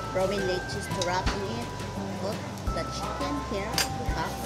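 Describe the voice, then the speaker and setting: A woman's voice over loud music in the background. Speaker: food vlogger. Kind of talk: casual vlog chat. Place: cafe.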